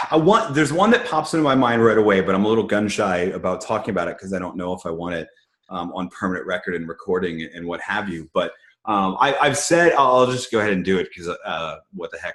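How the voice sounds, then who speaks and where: Talking at a very fast pace in an American accent, a man with a fairly low pitch makes very wide pitch swings. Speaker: nonfiction business book author. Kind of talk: casual Q&A chat. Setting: video call.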